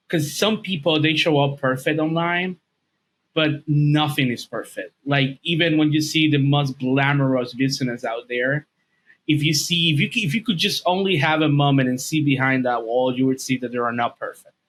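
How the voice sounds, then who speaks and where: This man has a Dominican accent. His pitch is fairly high. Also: ordinary pitch variation, moderate pace. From Dominican Republic. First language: Spanish. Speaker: video and podcast editor, English teacher. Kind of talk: podcast interview.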